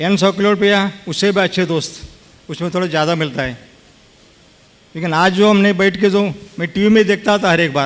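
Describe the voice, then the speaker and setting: The speech has fairly even intonation, with noticeable background noise behind it. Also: man, high pitch for a man. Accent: Kannada. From Karnataka, India. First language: Kannada (speaking Hindi). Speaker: lawyer and politician, honored guest. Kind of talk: speech to religious gathering. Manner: halting.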